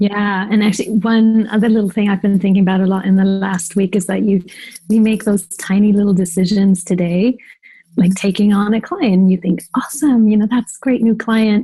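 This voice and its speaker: A soft-spoken woman talks at a fairly quick pace. Her medium-pitched voice is somewhat breathy, with a dark, mellow tone. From Germany. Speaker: designer and agency owner. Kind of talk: interview.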